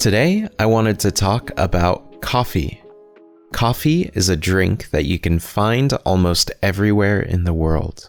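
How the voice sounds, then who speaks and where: Music sits in the background. A man speaks fairly slowly at a fairly low pitch with ordinary pitch variation. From Pacific Northwest, United States. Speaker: English-learning podcast host. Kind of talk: educational podcast talk to listeners. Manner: clear, friendly, slow.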